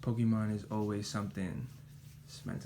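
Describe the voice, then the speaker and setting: Soft-spoken, a man talks at a moderate pace in a fairly low pitch. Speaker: ASMR creator. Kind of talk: ASMR card show-and-tell, casual talk to camera.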